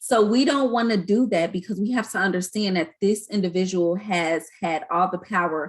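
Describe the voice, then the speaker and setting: At a moderate pace, a woman with medium pitch and ordinary pitch variation has an unremarkable speaking voice. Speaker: community educator. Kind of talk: online training presentation.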